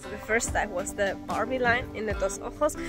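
Clear music plays in the background as a woman talks at a moderate pace, the sound dry with no echo. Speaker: travel vlogger. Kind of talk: casual vlog chat. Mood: excited, relieved after the dive. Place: forest. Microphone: phone near.

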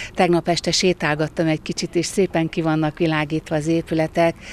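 A woman speaks at a moderate pace in a fairly low pitch. The sound is dry, with no echo. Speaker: interviewee. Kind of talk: interview statement. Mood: cheerful, appreciative. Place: open country. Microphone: handheld.

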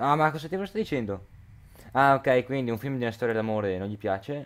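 A man's voice at a medium pitch. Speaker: gaming youtuber. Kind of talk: let's play commentary. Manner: hurried; halting.

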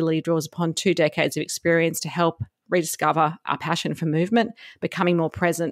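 A woman speaks at a fairly quick pace in a fairly low pitch. The recording is very clean, with a silent background and a dry, close sound with no echo. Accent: Australian. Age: 40s. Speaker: podcast host. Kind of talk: interview.

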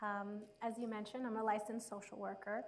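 A woman's monotone, flat delivery at a fairly quick pace. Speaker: social worker and university instructor; university instructor. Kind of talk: panel discussion. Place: stage.

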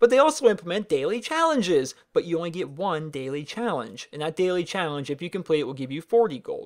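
A man with a high pitch at a fairly quick pace. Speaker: gaming YouTuber. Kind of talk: casual Q&A commentary over gameplay. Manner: rapid-paced.

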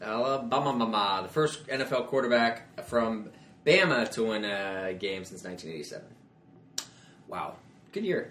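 With noticeable background noise, a man of medium pitch speaks at a fairly slow pace, leaving long, frequent pauses, his intonation lively and his loudness swinging widely. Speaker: podcast co-host. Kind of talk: casual chat.

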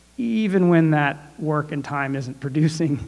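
This man's intonation stays fairly even as he talks. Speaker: panelist. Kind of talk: panel discussion remarks. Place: stage. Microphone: handheld.

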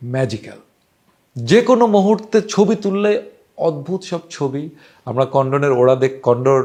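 A man with a dark, mellow tone. His intonation is lively. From Bangladesh. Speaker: travel storyteller. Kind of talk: travel storytelling monologue. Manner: casual, conversational.

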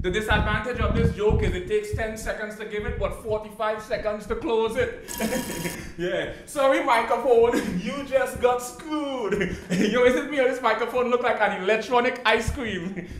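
A man's extremely high-pitched voice at a moderate pace, fairly even in intonation, with audible room echo and music in the background. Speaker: stand-up comedian. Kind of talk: stand-up comedy routine. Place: stage. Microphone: handheld.

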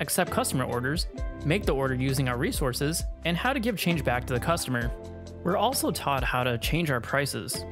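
Over music in the background, the speaker talks at a fairly quick pace. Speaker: game reviewer. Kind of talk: voice-over outtakes for a game review. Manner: stutters and stumbles, many retakes.

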